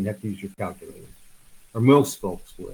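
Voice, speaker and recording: At a very fast pace, a man with a medium pitch speaks in a somewhat breathy voice. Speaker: math instructor. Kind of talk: online lecture. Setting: online video class. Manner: hesitant with fillers.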